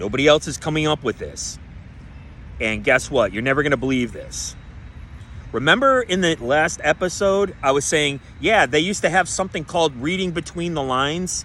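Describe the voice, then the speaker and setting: A man shouts loudly at a fairly high pitch in a bright, sharp, animated tone with vocal fry. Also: lively intonation, moderate pace. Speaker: conspiracy-minded show host. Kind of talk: solo monologue show. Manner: animated, yelling.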